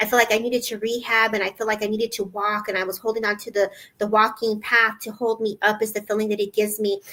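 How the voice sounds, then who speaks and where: Very fast and flat, a woman speaks in a monotone at a fairly high pitch with a bright, sharp tone. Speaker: psychic medium. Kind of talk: live psychic reading. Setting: livestream. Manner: halting.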